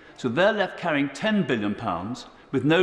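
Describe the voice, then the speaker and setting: With audible room echo, a man speaks at a fairly high pitch that swings very widely. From England. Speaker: member of parliament. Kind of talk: parliamentary debate speech. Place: hall. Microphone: podium.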